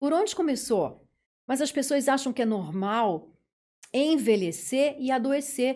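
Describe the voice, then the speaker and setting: A woman speaks at a fairly slow pace in a high pitch, her dark, mellow tone carried by lively intonation on a very clean recording with a silent background. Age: 50s. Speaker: dentist. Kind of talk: interview.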